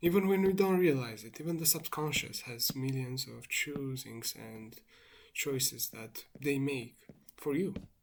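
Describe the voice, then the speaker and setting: A speaker with a non-native accent talks at a fairly slow pace with long, frequent pauses. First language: not English. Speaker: vlogger. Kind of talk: monologue. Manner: reflective, meandering.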